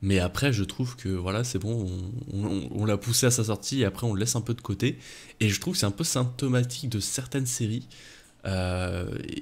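At a fairly quick pace, a man talks in a somewhat breathy voice. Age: 20s. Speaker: manga YouTuber. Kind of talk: casual chat; casual podcast conversation. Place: home room. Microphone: studio mic.

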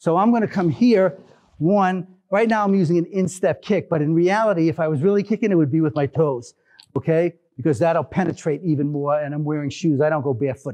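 Fairly high-pitched, a man speaks at a fairly quick pace. His tone is slightly mellow, with ordinary pitch variation.

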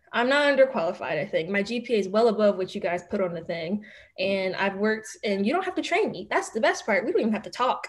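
A woman with a Philadelphia accent, fairly high in pitch, very fast and lively in intonation. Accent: Philadelphia American English. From Philadelphia, Manayunk and Roxborough area. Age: 20s. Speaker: law student; podcast guest. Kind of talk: casual interview chat. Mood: candid, animated storytelling. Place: home room. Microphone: video call.

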